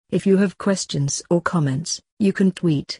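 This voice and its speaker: Someone performs a put-on character voice at middle pitch. The background is quiet. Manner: polished announcer delivery.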